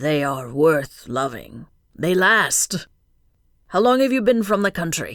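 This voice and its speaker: A woman's raspy put-on character voice, fairly low in pitch, with very wide pitch swings and a fairly slow pace. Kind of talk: early twentieth century period speech. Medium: read story. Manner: courteous, unhurried, formal.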